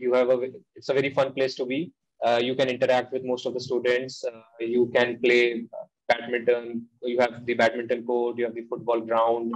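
The man's pace is moderate, and the background is quiet. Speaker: guest. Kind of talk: interview answer. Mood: relaxed, friendly. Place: home room. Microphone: video call.

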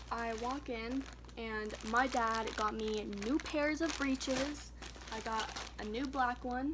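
A woman speaks with ordinary pitch variation. Noticeable noise sits in the background. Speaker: vlogger. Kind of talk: casual vlog chat. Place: home room. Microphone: phone near.

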